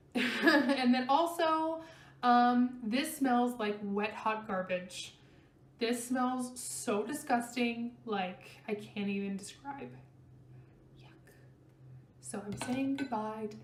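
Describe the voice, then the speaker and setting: A woman with a high pitch speaks very slowly, with ordinary pitch variation and long, frequent pauses. Audible room echo surrounds her voice. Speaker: beauty vlogger. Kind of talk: product review vlog. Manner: casual, many fillers.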